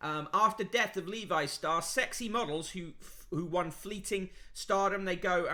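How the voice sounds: A natural reading voice whose pitch varies in an ordinary way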